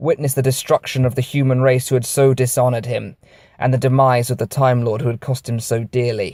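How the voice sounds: The clip carries a natural reading voice. That voice runs from start to finish.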